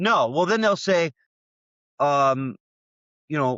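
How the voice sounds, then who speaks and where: With lively intonation, a man talks in an unremarkable speaking voice. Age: 60s. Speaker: job seeker, web content specialist. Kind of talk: casual interview conversation.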